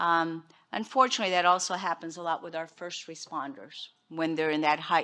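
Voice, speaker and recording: The woman's pace is moderate. She has a bright, sharp tone. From Portugal. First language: Portuguese. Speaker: behavioral health director. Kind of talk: conference presentation.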